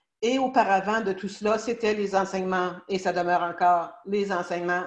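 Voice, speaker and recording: Speaking in a Quebec accent, a woman with a medium pitch talks at a fairly slow pace with fairly even intonation. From Quebec, Canada. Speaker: law of attraction teacher. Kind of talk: casual talk to an audience. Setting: live stream. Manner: hesitant, many fillers.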